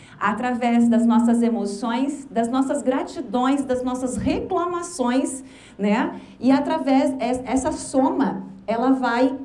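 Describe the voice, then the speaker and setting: Audible room echo and noticeable background noise surround a woman speaking fairly slowly at a high pitch with ordinary pitch variation. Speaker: motivational speaker. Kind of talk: lecture. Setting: stage with audience.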